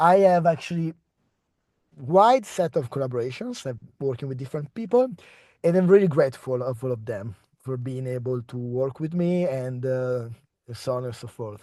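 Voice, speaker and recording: Against a quiet background, a man with an Italian accent speaks at a medium pitch and moderate pace in a dark, mellow tone, with lively intonation and big swings in loudness. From Italy. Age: 30s. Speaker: postdoctoral researcher. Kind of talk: research talk. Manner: halting.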